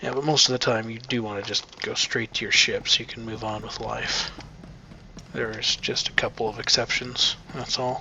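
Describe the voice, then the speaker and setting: Over noticeable background noise, a man with a Midwestern American accent talks at a moderate pace. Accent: own Midwestern American. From US Midwest. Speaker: gameplay video creator. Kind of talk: let's play commentary. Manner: casual, conversational.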